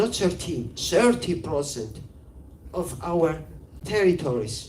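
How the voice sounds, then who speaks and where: Speaking at a very slow pace, this voice carries a Georgian accent. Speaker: filmmaker. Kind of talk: interview. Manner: halting.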